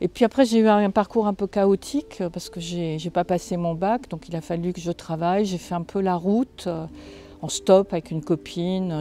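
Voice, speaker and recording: A woman with a dark, mellow tone and fairly low pitch talks at a moderate pace with ordinary pitch variation. The sound is dry and close, with no echo. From France, Lorraine (Moselle). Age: 60s. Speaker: writer. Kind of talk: interview. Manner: halting, frequent hesitations.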